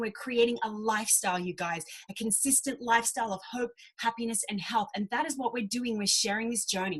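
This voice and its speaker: Words come out at a fairly quick pace. An Australian accent is heard. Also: woman. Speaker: fitness coach. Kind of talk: online group presentation. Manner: animated.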